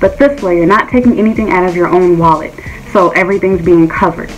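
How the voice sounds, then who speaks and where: With faint music in the background, a woman talks with ordinary pitch variation. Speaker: private English teacher giving advice. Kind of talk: tutorial. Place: home room. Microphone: phone near.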